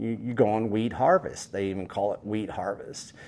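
Speaking with a West Texas accent, a man talks at medium pitch. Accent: West Texas drawl. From West Texas, Panhandle. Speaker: rancher and food activist. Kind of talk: interview.

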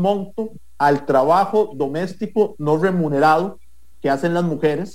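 A plain, everyday voice from a man, fairly high in pitch with ordinary pitch variation, at a fairly slow pace. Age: 30s. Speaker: political candidate. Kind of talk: interview.

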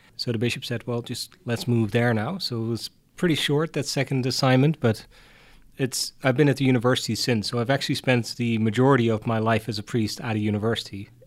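The speaker talks at a very fast pace with a Dutch accent. Intonation is fairly even, and the recording is very clean with a silent background. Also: man, medium pitch for a man. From Netherlands, Hardenberg near German border. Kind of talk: interview.

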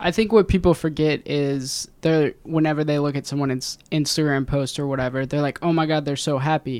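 A man with an American accent and a plain, everyday voice, fairly high in pitch, fairly quick and hardly pausing, his intonation fairly even, on a very clean recording over a silent background. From Ohio, US (Loveland, near Cincinnati). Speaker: podcast host. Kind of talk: casual chat.

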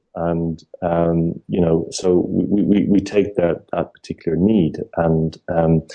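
With an Irish accent, a man speaks in a very deep, low voice with fairly even intonation. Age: 30s. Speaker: entrepreneur. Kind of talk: casual chat. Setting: phone call. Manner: halting.

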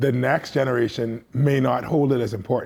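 A man's medium-pitched voice, dark and mellow in tone, at a moderate pace. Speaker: comedian and commentator. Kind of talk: panel discussion.

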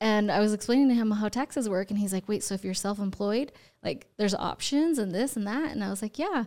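A woman with a normal speaking voice talks at a fairly high pitch with lively intonation. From Utah, US (born in Ecuador, moved at four). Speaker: real estate agent. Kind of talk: casual interview. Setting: studio.

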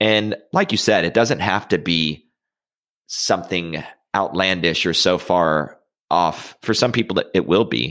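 Spoken at a fairly slow pace in an American accent, the voice has ordinary pitch variation, on a very clean recording with a silent background. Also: man, very deep, low pitch for a man. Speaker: podcast host, wealth manager. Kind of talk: casual interview.

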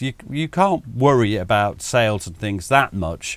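A man with a normal speaking voice and lively intonation talks at a fairly slow pace on a very clean recording with a silent background. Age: 60s. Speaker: military historian. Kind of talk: casual chat.

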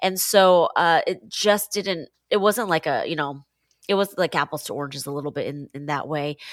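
At a moderate pace, a woman speaks with an American accent and a fairly low pitch. Her pitch variation is ordinary, in a very clean recording with a silent background. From Seattle, US Pacific Northwest. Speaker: pastor. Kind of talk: interview conversation.

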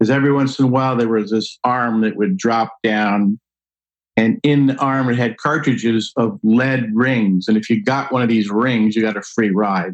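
With an American accent and a normal speaking voice, a man talks at a moderate pace with ordinary pitch variation in a dry, close sound with no echo. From New Jersey. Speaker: wine expert and speaker. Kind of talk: casual interview.

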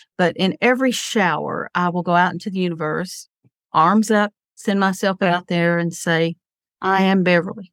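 This is a normal speaking voice: a woman at a moderate pace, fairly low in pitch, with fairly even intonation. The sound is dry and close, with no echo. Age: 60s. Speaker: psychic. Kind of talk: psychic reading; casual chat.

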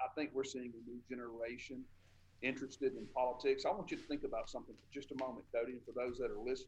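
A man talks with a Southern US accent. His pace is very fast. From Tupelo, Mississippi. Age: 40s. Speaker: state senator. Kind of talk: interview.

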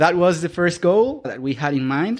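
Recorded very cleanly against a silent background, a man with a Colombian accent speaks at a moderate pace. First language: Spanish. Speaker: guest, Spanish-speaking immigrant to Canada learning English. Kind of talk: casual interview chat. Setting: podcast interview. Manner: halting, filler-heavy.

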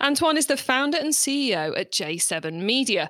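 A bright, sharp tone with a British accent, at a moderate pace with very wide pitch swings, in a dry, close sound with no echo. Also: woman. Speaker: podcast host. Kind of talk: interview.

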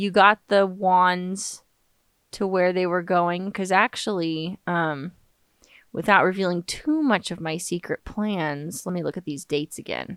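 A woman's voice at medium pitch with an American accent, a normal speaking voice at a fairly slow pace, with ordinary pitch variation, on a very clean recording with a silent background and a dry, close sound with no echo. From Los Angeles, US. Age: 20s. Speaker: witchcraft podcaster, author and singer-songwriter. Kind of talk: casual solo podcast monologue. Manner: chatty, humorous, digressive.

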